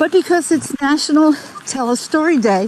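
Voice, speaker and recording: Intonation is lively as a woman talks at a moderate pace. Background noise is noticeable throughout. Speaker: webinar host. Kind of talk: webinar presentation.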